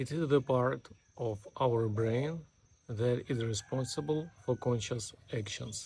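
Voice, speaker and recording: A man speaks at a very slow pace with a medium pitch. His voice is somewhat breathy, with a dark, mellow tone. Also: ordinary pitch variation. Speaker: self-improvement vlogger. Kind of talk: unscripted monologue. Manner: robotic, deliberate.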